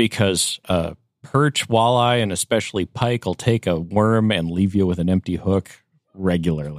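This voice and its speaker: A man with an American accent talks in a very deep, low pitch, keeping his loudness very even and his pitch variation ordinary. The very clean recording has a silent background and a dry, close sound with no echo. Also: moderate pace. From US Upper Midwest. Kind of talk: casual chat.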